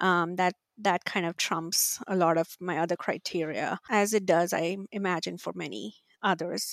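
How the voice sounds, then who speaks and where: A woman's fairly low voice with vocal fry, at a moderate pace, in a dry, close sound with no echo. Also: ordinary pitch variation, very clean recording, silent background. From India, Mumbai. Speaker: university marketing executive. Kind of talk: interview.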